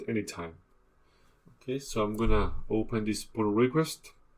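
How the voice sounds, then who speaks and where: A man at medium pitch with a non-native accent and a moderate pace. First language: not English. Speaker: instructor. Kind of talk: tutorial. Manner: halting.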